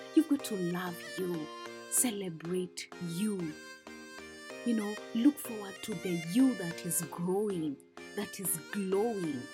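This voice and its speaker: A woman speaks at a very slow pace in a calm tone, her pitch medium and her intonation lively. Long, frequent pauses and big swings in loudness come over music in the background. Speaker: lifestyle vlogger. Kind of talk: voice-over reflection. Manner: calm, soft-spoken.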